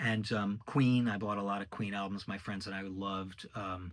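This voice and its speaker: A man's fairly low voice with an American accent and monotone, flat intonation. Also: very clean recording, silent background. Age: 60s. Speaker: orchestrator and musician. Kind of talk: casual monologue. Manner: hesitant, many fillers.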